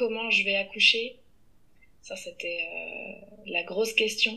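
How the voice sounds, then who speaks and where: A woman is speaking. Her pace is very slow. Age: 30s. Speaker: teacher and podcaster. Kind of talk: interview. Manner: halting.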